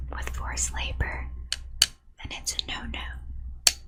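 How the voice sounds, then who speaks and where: Whispering over noticeable background noise. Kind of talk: ASMR explainer of a congressional bill. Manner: whispered; soft, relaxing.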